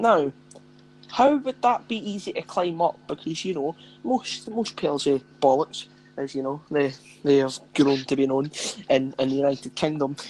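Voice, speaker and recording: With a Scottish accent, the speaker leaves long, frequent pauses. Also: moderate pace. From Scotland, near Edinburgh. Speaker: podcast co-host. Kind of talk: casual chat.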